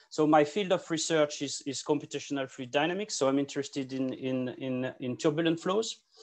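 Against a quiet background, a man talks at a moderate pace. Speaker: presenter. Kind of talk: conference talk. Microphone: video call.

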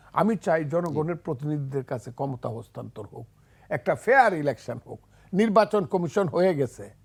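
On a very clean recording with a silent background, a man talks in a fairly high, somewhat breathy voice with very wide pitch swings and big swings in loudness. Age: 70s. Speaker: lawyer and politician, war veteran. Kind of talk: TV talk show discussion.

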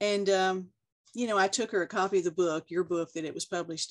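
A woman with a Texas accent speaks at a fairly quick pace and a fairly low pitch. Her intonation is fairly even, over a quiet background. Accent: Texas twang. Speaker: art instructor, oil and colored pencil painter; interviewee. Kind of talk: interview answer. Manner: candid, charming. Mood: warm, amused. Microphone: video call.

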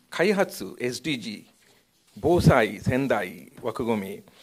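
In a quiet background, a man speaks with vocal fry and very wide pitch swings. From India. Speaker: university professor. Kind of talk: panel discussion. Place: meeting room. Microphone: podium.

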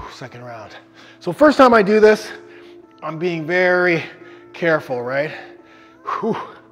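A man talks at a moderate pace while faint music sounds in the background. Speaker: fitness trainer. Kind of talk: workout instruction while exercising. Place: gym.

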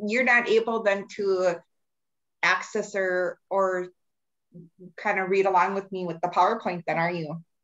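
A woman at a medium pitch uses a normal speaking voice at a fairly slow pace. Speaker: assistive technology provider for low vision. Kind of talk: webinar presentation. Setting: video call.

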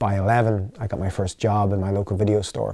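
A man with an Irish accent, fairly low-pitched and dark and mellow in tone, in a flat monotone, with a dry, echo-free sound and a quiet background. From Ireland. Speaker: company founder and CEO; interviewee. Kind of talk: interview. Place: studio.

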